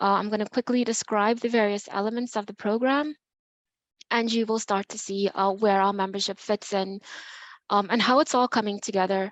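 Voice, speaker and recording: Speaking at a fairly quick pace, a woman uses a medium pitch and fairly even intonation. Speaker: nonprofit program manager. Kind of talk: presentation at online meeting. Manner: fast.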